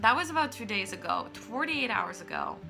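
Clear music is heard behind the voice. The speaker is a woman. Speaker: vlogger. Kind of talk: casual vlog chat. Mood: animated storytelling, slightly upset. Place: home room. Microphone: phone near.

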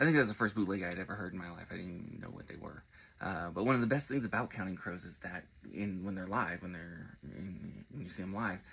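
Very deep and low in pitch, a man talks at a very fast pace with ordinary pitch variation. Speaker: music fan lecturer. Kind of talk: casual lecture. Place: home room. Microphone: phone near.

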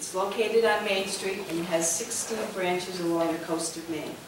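A woman speaks at a moderate pace with fairly even intonation, with audible room echo and noticeable background noise. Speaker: event host. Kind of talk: formal introduction. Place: hall.

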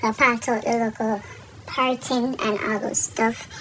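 Noticeable background noise sits behind a woman whose voice is high in pitch. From Jamaica. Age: 20s. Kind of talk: casual voiceover for hair tutorial.

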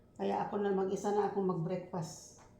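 Over noticeable background noise and audible room echo, a woman at medium pitch speaks at a moderate pace in a flat monotone. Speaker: vlogger. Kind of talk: casual eating vlog. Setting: at home.

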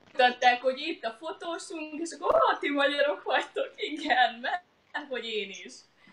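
Speech moves at a moderate pace. Light background noise is present. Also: woman, high pitch for a woman. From Hungary. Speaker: lawyer and author, mother; interview guest. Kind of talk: live online interview. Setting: live Facebook video stream. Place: home room. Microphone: webcam.

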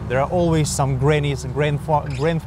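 Over noticeable background noise, a man talks with fairly even intonation in a dry sound with no echo. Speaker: travel food vlogger. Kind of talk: casual vlog chat. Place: street. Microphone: lapel.

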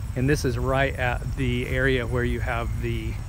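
A man speaks at a fairly slow pace in a dry sound with no echo, over noticeable background noise. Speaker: travel vlogger. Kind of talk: casual vlog narration. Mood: relaxed, pleased. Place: open country. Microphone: phone near.

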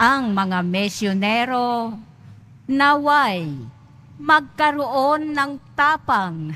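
Speaking at a very slow pace, a woman uses a high pitch, a bright, sharp tone and lively intonation. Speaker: lector. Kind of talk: reading aloud. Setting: church.

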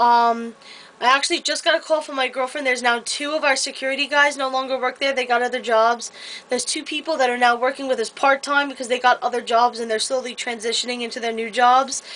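Speaking at a very fast pace, a woman keeps a high pitch and fairly even intonation. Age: 20s. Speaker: vlogger and retail store employee. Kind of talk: casual vlog monologue. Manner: hesitant, many filler words. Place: home room. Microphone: webcam.

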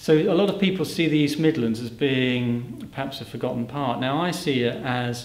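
There is audible room echo as a man speaks at a moderate pace with ordinary pitch variation. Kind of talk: interview answer. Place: hall.

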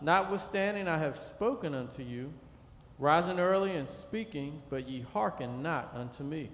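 This man has a normal speaking voice with a fairly high pitch. His intonation is lively and his pace moderate. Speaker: minister. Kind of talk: reading scripture aloud in church; sermon, reading scripture. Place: church. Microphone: podium.

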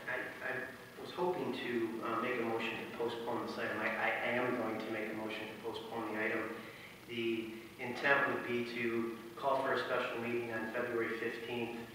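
A man's flat, monotone delivery at a moderate pace, with strong room echo and light background noise. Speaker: council member. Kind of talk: formal meeting motion. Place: hall.

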